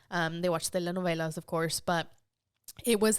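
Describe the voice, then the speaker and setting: In a very clean recording with a silent background, a woman with a Spanish accent speaks with fairly even intonation. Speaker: podcast guest. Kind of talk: casual interview chat. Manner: casual with many fillers.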